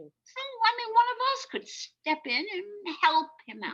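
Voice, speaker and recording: Putting on a squeaky, theatrical character voice, a woman speaks at an extremely high pitch at a moderate pace, with very wide pitch swings and big swings in loudness. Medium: stage play. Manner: breezy, theatrical.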